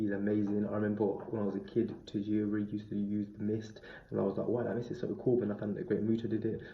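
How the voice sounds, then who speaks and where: A man at a very fast pace and fairly low pitch, with monotone, flat intonation and audible room echo. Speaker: wrestling reviewer. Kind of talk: review monologue.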